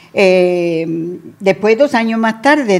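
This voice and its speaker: A woman's medium-pitched voice carries lively intonation. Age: 80s+. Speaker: radio co-presenter. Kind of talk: casual chat.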